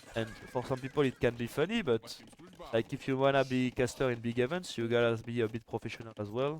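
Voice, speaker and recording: A man with a French accent speaks at a very fast pace and a medium pitch. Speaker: esports caster and streamer. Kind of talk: live commentary. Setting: live stream. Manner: animated.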